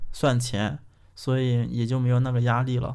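A room echo can be heard around a man whose voice is pitched in the medium range. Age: 20s. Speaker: podcast host. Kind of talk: casual chat.

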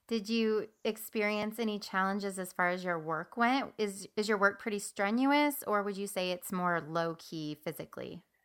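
A woman's plain, everyday voice at a medium pitch, moderate pace and ordinary pitch variation, with hardly any pauses. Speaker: podcast host. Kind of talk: interview chat.

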